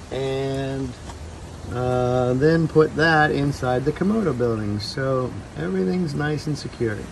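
Over noticeable background noise, a man speaks at a very slow pace. His fairly high voice shows ordinary pitch variation. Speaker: zoo director. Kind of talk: narration. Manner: calm. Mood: calm, dry, slightly wry. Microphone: phone near.

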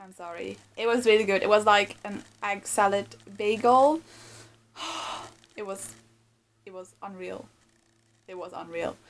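A woman with a non-native accent at a fairly slow pace, medium in pitch with ordinary pitch variation, long, frequent pauses, big swings in loudness and light background noise. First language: not English. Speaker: vegan lifestyle vlogger. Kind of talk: casual talk to camera. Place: home room. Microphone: phone near.

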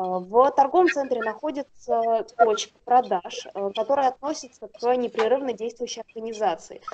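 Ordinary pitch variation marks this speech, which moves at a moderate pace. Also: woman, high pitch for a woman. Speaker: seminar participant. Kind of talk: Q&A question.

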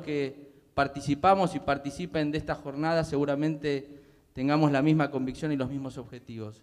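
With a quiet background behind him, this man keeps a moderate pace. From Buenos Aires province, Argentina. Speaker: public ombudsman; public panelist. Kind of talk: speech at panel. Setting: theatre stage with audience. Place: stage. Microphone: handheld.

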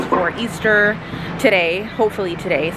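Over music in the background, a woman speaks with fairly even intonation. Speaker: mom vlogger. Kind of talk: casual vlog chat. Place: shop. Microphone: phone near.

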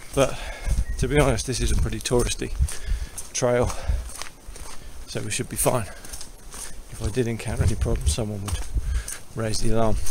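Noticeable background noise surrounds a man speaking at a fairly quick pace. The sound is dry, with no echo. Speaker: hiker vlogger. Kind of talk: casual vlog chat. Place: forest. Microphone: phone near.

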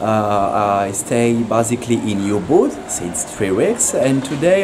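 Lively intonation from a man at a very slow pace, with noticeable background noise. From France. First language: French. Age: 20s. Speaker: Muay Thai fighter. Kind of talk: street interview. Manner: halting.

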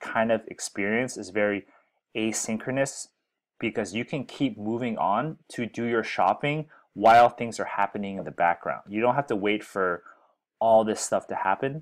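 In a quiet background, a man talks at a moderate pace with ordinary pitch variation. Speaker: software educator. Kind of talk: tutorial. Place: home room.

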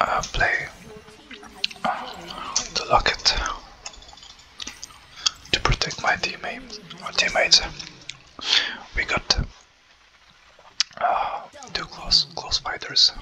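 A very slow whisper broken by long, frequent pauses. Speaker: ASMR content creator. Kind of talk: ASMR gameplay commentary. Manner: whispered, soft. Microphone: studio mic.

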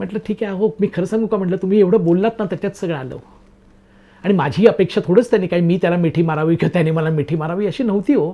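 The man's voice is pitched high. It shows ordinary pitch variation. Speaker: storyteller / YouTube narrator. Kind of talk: narrated personal story. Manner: conversational, talkative.

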